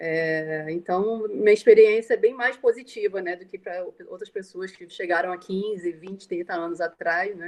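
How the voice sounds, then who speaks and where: A woman with an ordinary speaking voice talks at medium pitch and a moderate pace, with hardly any pauses. Her pitch variation is ordinary, while her loudness swings widely. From Brazil, Rio de Janeiro. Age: 40s. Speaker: Brazilian emigrant. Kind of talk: testimony in live online talk.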